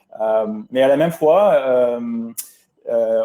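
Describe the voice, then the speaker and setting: In an English-Canadian accent, a man speaks with a medium pitch and a dark, mellow tone. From English Canada. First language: English (speaking French). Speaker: pulmonologist. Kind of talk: webinar presentation. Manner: halting, many hesitations.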